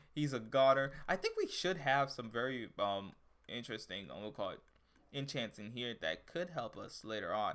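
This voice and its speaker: At a moderate pace, a man speaks at medium pitch with ordinary pitch variation and big swings in loudness. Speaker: gaming YouTuber. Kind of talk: gameplay commentary. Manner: casual, hesitant with fillers.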